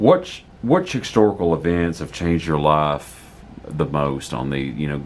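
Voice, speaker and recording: A man with a very deep, low pitch speaks at a fairly slow pace. Noticeable background noise can be heard. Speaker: local history interviewer. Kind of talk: interviewer questions.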